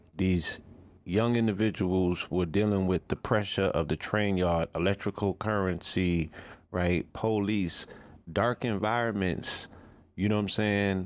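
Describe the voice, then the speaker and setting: A man's fairly low voice at a fairly slow pace, with fairly even intonation and very even loudness, on a very clean recording with a silent background. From New York (the Bronx). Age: 40s. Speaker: visual artist. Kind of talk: casual chat.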